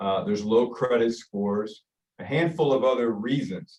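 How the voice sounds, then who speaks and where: With ordinary pitch variation, a man talks at a medium pitch and a moderate pace. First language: Spanish. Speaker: mortgage company managing director. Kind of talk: business presentation.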